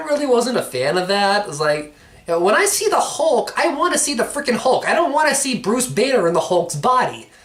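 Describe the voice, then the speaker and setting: Noticeable background noise runs under speech delivered at a moderate tempo. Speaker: movie reviewer. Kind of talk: casual review monologue. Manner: halting, filler-heavy.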